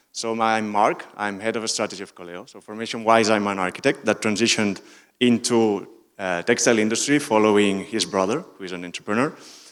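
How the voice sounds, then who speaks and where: A man with a fairly low pitch talks at a very fast pace, with ordinary pitch variation and big swings in loudness. The recording is very clean, with a silent background. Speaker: recycling company strategist. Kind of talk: conference talk. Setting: stage with audience. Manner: hesitant, many fillers.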